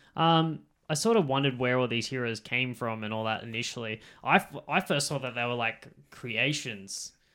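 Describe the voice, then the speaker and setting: A man with an Australian accent speaks at a moderate pace in a medium pitch with ordinary pitch variation. His tone is bright and sharp, on a very clean recording with a silent background. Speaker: podcast co-host. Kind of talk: casual chat.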